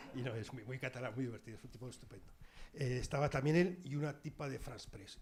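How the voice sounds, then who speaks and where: Somewhat breathy speech from a man at a fairly quick pace. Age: 60s. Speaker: journalist, former war correspondent. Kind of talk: public talk with audience.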